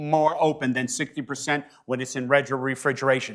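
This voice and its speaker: With an American accent, a man uses a normal speaking voice at a moderate pace and a fairly high pitch. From northeastern US. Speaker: industry trainer. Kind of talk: technical training presentation.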